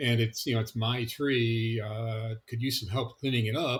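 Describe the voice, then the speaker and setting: A man with an ordinary speaking voice at a moderate pace. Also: very clean recording, silent background. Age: 60s. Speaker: patient sharing illness story. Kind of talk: testimony. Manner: casual, with fillers.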